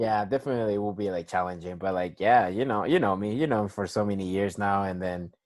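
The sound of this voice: Speaking at a fairly quick pace, a man with a fairly low pitch and a slightly mellow tone shows ordinary pitch variation.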